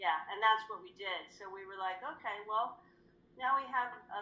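At a moderate pace, a woman speaks with a bright, sharp tone. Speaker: guest. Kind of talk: interview answer. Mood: reflective, earnest. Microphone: video call.

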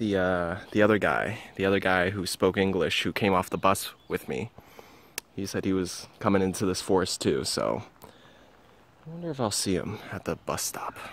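A man's voice is very deep and low, with ordinary pitch variation. He keeps a moderate pace, and the sound is dry with no echo. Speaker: tourist vlogger. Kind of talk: casual vlog chat. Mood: uneasy then relieved. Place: forest. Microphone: phone near.

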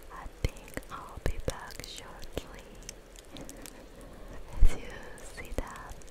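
Whispered words come at a very slow pace, broken by long, frequent pauses, as noticeable background noise continues. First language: not English. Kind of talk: ASMR gaming livestream talk.

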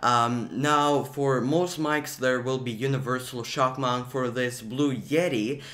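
A man speaks very slowly at a medium pitch with fairly even intonation. His tone is bright and sharp, and the room echo is audible. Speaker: YouTuber giving tech tips. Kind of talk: tutorial. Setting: home room near a window. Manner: many fillers (uh, um).

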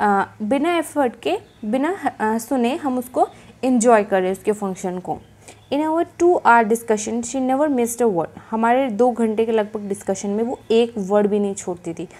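At a fairly slow pace, a woman speaks with a fairly high pitch, lively intonation and a dark, mellow tone. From India. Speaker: teacher. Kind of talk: lecture. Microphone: phone near.

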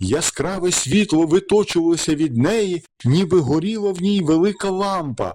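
With ordinary pitch variation, the voice reads in an unforced way.

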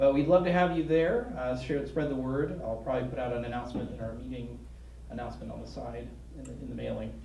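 A man talks against light background noise, with audible room echo around him. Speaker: president of a humanist group, event host. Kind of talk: announcements. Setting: stage with audience. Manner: casual, joking. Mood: upbeat, inviting. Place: meeting room. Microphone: handheld.

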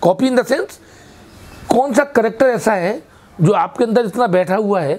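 This is a man speaking. He keeps a moderate pace. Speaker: actor, theatre and film actor, interviewed guest. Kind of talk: interview answer. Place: home room. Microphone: lapel.

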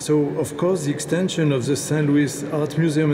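The man's pitch is fairly high and his pace moderate. Noticeable background noise is present. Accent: French. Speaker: landscape architect. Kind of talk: speech at ceremony. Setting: stage with audience. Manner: hesitant, halting, with pauses. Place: hall. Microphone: podium.

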